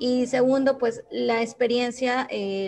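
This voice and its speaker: A woman speaks with fairly even intonation. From Peru. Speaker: event participant. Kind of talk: audience question. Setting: video call.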